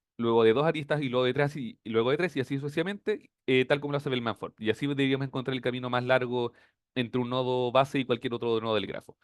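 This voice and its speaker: A man with a Chilean accent talks very fast at a medium pitch and fairly even intonation. The recording is dry and close, with no echo. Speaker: teaching assistant. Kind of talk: tutorial.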